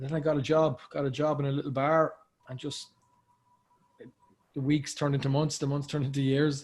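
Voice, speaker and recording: A man with an Irish accent, fairly high-pitched and fairly quick. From Ireland, Cork. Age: 30s. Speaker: actor. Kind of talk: casual chat.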